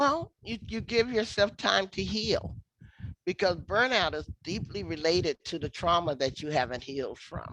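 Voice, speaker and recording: A woman with a fairly low pitch and vocal fry speaks at a moderate pace, her pitch swinging very widely. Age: 60s. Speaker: activist and scholar. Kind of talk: interview conversation. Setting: virtual lecture.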